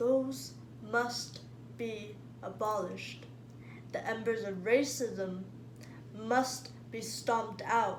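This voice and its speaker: With noticeable background noise, a woman of medium pitch speaks at a very slow pace, using long, frequent pauses and very wide pitch swings. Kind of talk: spoken word poetry performance.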